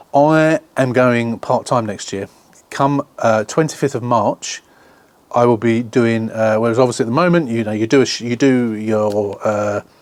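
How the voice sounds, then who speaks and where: A man with an English accent talks at a moderate pace and medium pitch with ordinary pitch variation. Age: 60s. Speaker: car restoration YouTuber. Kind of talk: casual vlog chat.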